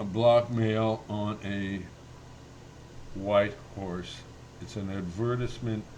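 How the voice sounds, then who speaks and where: Against audible room echo, a man talks very slowly in a monotone, flat intonation. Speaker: vlogger and self-published writer. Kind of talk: casual vlog monologue. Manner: halting, many fillers.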